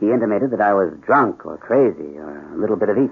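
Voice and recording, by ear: In a put-on character voice, a man speaks fast at a fairly low pitch with lively intonation, vocal fry and a slightly husky edge.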